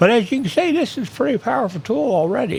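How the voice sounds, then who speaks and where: A man speaks with very wide pitch swings. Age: 60s. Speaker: independent data analyst, YouTuber. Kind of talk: screen-share tutorial. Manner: casual, conversational.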